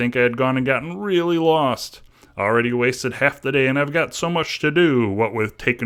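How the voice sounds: The speaker uses a natural reading voice, and the pitch varies in an ordinary way.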